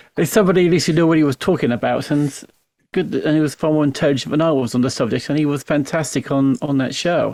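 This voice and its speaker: A man with a southern English accent speaks at a very fast pace and a fairly high pitch, with ordinary pitch variation and very even loudness. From Ramsgate, Kent, England. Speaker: radio host. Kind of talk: casual chat. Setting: video call.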